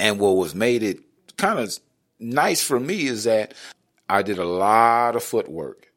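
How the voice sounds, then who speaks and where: Recorded very cleanly against a silent background, a plain, everyday voice goes at a fairly slow pace with ordinary pitch variation. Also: man. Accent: American. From Northern California. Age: 40s. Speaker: formerly homeless ex-prisoner and poet. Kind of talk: personal life story interview.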